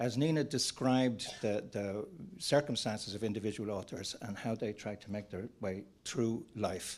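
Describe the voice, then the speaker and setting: With an Irish accent, a man speaks at a moderate pace. His voice is fairly low, with ordinary pitch variation. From Ireland. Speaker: panel moderator, screenwriters' federation executive. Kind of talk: panel discussion. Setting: conference with audience and online.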